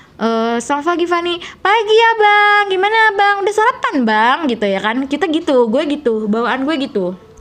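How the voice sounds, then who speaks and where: A woman's high voice with very wide pitch swings at a moderate pace, over noticeable background noise. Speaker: YouTuber. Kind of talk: casual vlog storytelling. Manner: soft, gentle speech; casual, filler-heavy.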